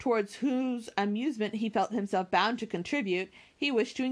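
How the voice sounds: The pitch varies in an ordinary way across this natural reading voice.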